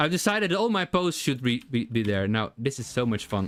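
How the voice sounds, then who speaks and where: Very wide pitch swings and a non-native accent at a fairly quick pace. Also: man. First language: not English. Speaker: game developer streamer. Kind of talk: live coding stream. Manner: halting.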